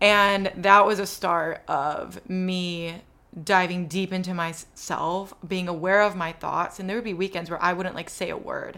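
A bright, sharp voice speaks at a fairly slow pace with monotone, flat intonation. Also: woman, medium pitch for a woman. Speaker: podcast host. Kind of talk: casual interview chat.

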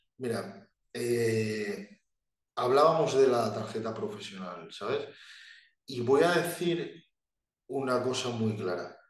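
Somewhat breathy and at medium pitch, a man speaks at a very slow pace with lively intonation and long, frequent pauses, and audible room echo can be heard. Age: 20s. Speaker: bodybuilder. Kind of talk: casual chat.

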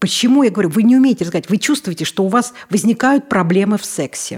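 Speaking very fast at a medium pitch, a woman sounds animated and somewhat breathy. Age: 50s. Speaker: obstetrician-gynecologist. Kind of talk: interview.

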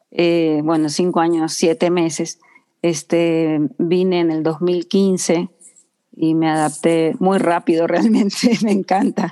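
A woman speaks at a very slow pace. Her voice has a fairly low pitch and a dark, mellow tone. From Ecuador. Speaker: communicator and designer, floral therapist. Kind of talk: interview.

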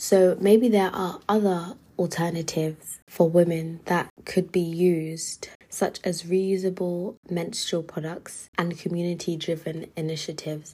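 Fairly slow and somewhat breathy, a woman with a London accent speaks in a fairly low, dark, mellow voice with monotone, flat intonation. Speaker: podcast host, university student. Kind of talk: solo podcast monologue.

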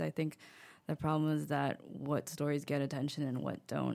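An American accent on a very clean recording with a silent background. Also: woman. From United States. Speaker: blogger and illustrator, author. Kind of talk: casual interview chat. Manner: casual, laughs often, filler words.

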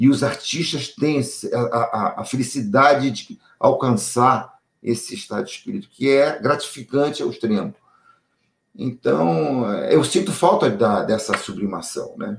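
A man speaks at a fairly slow pace with a medium pitch. His intonation is lively and his voice somewhat breathy. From Brazil. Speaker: TV producer. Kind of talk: interview. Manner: halting.

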